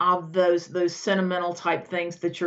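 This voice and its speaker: Fairly low pitch and a fairly quick pace from a woman. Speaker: decluttering coach. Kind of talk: podcast interview. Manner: halting.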